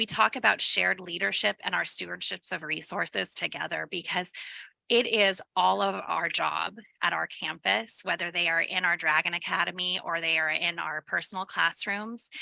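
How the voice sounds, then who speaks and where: Recorded dry and close with no echo, a woman speaks at a moderate pace. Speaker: school principal. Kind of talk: presentation. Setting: school board meeting. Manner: loud.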